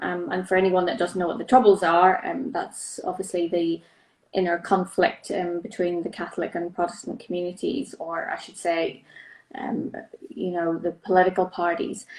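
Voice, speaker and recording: Her pace is moderate and her pitch medium. The woman's pitch varies in an ordinary way. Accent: Northern Irish. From Northern Ireland. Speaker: charity director. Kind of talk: interview. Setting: Instagram live video.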